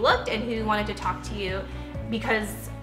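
A woman's fairly quick speech over clear background music. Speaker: lifestyle vlogger. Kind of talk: casual vlog chat. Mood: reflective, personal story.

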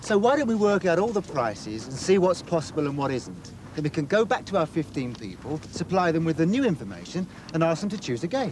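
With faint background noise, a man talks at a fairly quick pace, his fairly high pitch making big swings in a slightly mellow tone.

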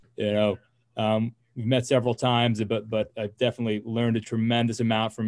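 A man's fairly low-pitched, monotone voice with flat intonation, against a quiet background. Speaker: neurosurgeon. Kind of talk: case presentation. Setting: video call. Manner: repeats words often. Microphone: webcam.

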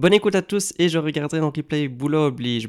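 A man's fairly high voice with lively intonation. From Belgium. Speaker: guitar teacher. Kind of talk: live stream tutorial. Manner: hesitant, many fillers.

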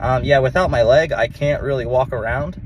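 A man talks at a moderate pace over light background noise, the sound dry with no echo. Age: 30s. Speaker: amputee vlogger. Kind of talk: casual vlog monologue. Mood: reflective, a bit worked up. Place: car. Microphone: phone near.

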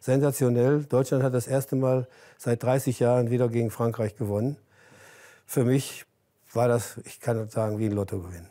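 A man with a dark, mellow tone and medium pitch speaks at a moderate pace with fairly even intonation against a quiet background. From Germany. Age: 80s+. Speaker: former footballer; interview guest. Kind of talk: interview. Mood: relaxed, reminiscing, smiling. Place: home room. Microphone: lapel.

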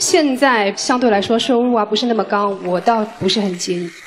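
Female speech at a middling speed with usual pitch movement, over clearly audible background noise. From Shanghai. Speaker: dating show contestant. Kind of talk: dating show confession. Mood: warm, slightly shy. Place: stage. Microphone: handheld.

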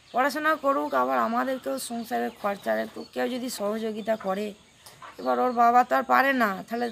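Light background noise sits under a woman's voice. Her fairly high pitch swings very widely. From West Bengal, India. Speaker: mother of interviewee; interviewee. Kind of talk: interview answers. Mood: earnest, pleading. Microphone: phone near.

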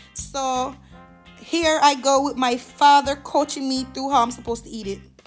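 With music in the background, a woman in a Jamaican accent speaks at a high pitch with big swings in loudness. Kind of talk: travel vlog voice-over.

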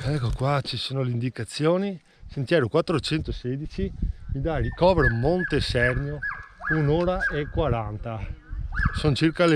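Light background noise sits under a man speaking with ordinary pitch variation in a dry sound with no echo. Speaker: hiking vlogger. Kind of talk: casual vlog chat. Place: open country. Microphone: phone near.

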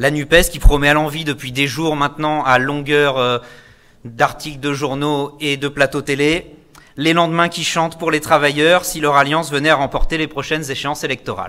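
At a moderate pace, a man with a fairly high pitch and a bright, sharp tone speaks in a flat, monotone way. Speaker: school activity leader and union activist; speaker. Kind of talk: political rally speech. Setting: stage with audience. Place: hall. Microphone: podium.

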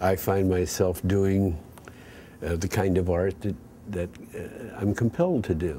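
A man's very deep, low voice, dark and mellow, somewhat breathy, with fairly even intonation, a fairly slow pace and long, frequent pauses. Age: 70s. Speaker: artist and sculptor. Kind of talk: interview reflection. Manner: halting, frequent fillers.

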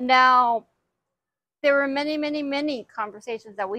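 A woman with an American accent speaks at a moderate pace with a bright, sharp tone and ordinary pitch variation, the sound dry and close with no echo. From Houston, Texas. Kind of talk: interview.

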